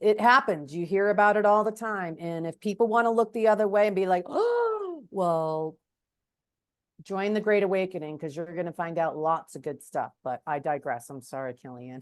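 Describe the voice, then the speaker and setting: Using an ordinary speaking voice, a woman talks at a moderate pace and medium pitch. Her intonation is lively, with big swings in loudness. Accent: American. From New Hampshire, US. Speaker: podcast interviewer. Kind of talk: casual interview.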